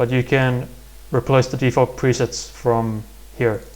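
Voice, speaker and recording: Speaking at a fairly slow pace, a man with a medium-pitched, somewhat breathy voice holds a monotone, flat intonation. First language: not English. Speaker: music production tutorial creator. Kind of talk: tutorial. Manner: halting.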